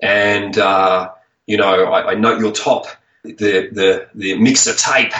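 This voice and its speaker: At a very slow pace, a man speaks with an Australian accent. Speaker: chiropractor and author. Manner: passionate, animated.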